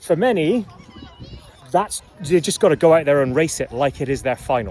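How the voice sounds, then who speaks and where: A man speaks with a slight Scottish accent. Noticeable background noise runs underneath. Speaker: rowing coach and commentator. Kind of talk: informal review. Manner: casual, hesitant with fillers.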